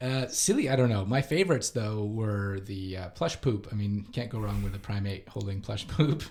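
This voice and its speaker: A man with a fairly low pitch and a Canadian accent talks at a moderate pace with hardly any pauses, amid noticeable background noise and audible room echo. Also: ordinary pitch variation. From Canada. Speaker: podcast host, primatologist. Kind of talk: casual chat. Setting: conference.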